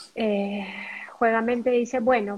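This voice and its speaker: A woman's fairly high-pitched voice in a flat monotone. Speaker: podcast co-host. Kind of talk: casual chat.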